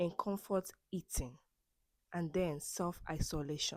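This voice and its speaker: On a very clean recording with a silent background, a woman with a non-native accent speaks at a medium pitch and a very slow pace. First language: not English. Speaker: self-help podcast host. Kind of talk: personal monologue. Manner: halting, with self-corrections and repeats.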